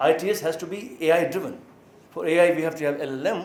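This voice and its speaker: The speaker talks with an Indian accent, and audible room echo surrounds the voice. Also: man. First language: Maithili. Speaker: professor. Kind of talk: lecture. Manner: halting.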